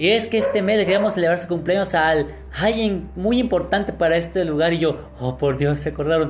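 Over music in the background and audible room echo, a man with a Mexican accent talks at a fairly quick pace with a high pitch, ordinary pitch variation and very even loudness. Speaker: podcast host. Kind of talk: casual chat.

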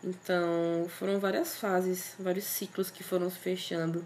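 A woman talks at a medium pitch. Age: 20s. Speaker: podcast host. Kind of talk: casual monologue.

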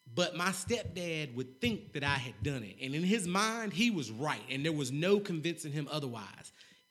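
Over music in the background, a man with a fairly high pitch speaks at a moderate pace with very wide pitch swings. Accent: American. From North Carolina. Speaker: mental health and financial literacy advocate. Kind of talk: casual interview.

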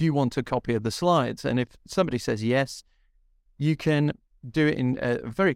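Recorded very cleanly against a silent background, with a dry, close sound with no echo, a man in an ordinary speaking voice talks at a fairly quick pace with ordinary pitch variation. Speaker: podcast co-host. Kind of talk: casual chat, podcast discussion.

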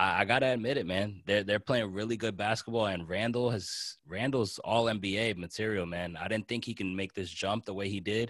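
Fairly quick, fairly low-pitched speech from a man with an American accent, hardly any pauses, on a very clean recording with a silent background. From New Jersey. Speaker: sports podcast host. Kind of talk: casual chat. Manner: animated.

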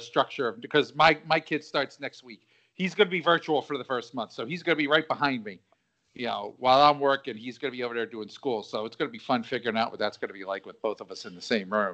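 A man with a South Philly accent, a bright, sharp tone and lively intonation. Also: big swings in loudness. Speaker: podcast host. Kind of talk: casual chat.

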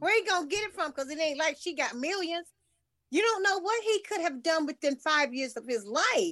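This woman's voice is extremely high, with a bright, sharp tone. She talks at a fairly quick pace with lively intonation. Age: 60s. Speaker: podcast co-host. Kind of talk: casual chat.

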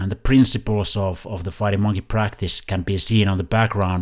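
A man with a non-native accent, fairly low pitch and fairly even intonation, in a very clean recording with a silent background. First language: not English. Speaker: physiotherapist and podcast host. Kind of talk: scripted intro; casual chat. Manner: halting.

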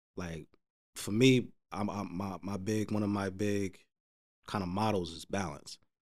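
Talking at a fairly slow pace, a man with a New Jersey accent keeps a fairly low voice with fairly even intonation. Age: 30s. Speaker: podcast guest. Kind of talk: casual chat.

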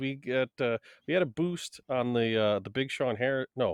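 Heard on a very clean recording with a silent background and a dry, close sound with no echo, a man speaks at a moderate pace, his fairly high pitch carrying lively intonation. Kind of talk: casual podcast interview.

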